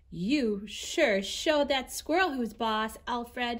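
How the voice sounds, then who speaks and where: Using a put-on character voice, a woman talks at a fairly slow pace, pitched high with lively intonation. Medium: read story. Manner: friendly.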